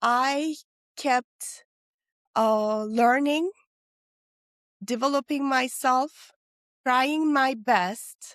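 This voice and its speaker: A very slow pace with long, frequent pauses and ordinary pitch variation, in a dry, close sound with no echo and a very clean recording against a silent background. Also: woman, high pitch for a woman. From Turkey. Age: 50s. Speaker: business professor and wellness entrepreneur. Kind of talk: interview.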